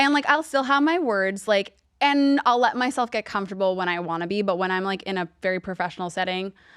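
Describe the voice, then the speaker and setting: A woman with an American accent talks at a very fast pace with hardly any pauses. Her medium pitch has lively intonation, and the recording is very clean with a silent background. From New York, Long Island. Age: 30s. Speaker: TV lifestyle host. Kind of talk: casual interview.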